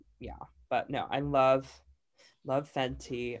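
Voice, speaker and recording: Over a silent background in a very clean recording, the speaker uses an animated tone with an American accent. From US, Virginia and Idaho. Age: 20s. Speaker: makeup artist. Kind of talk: casual chat.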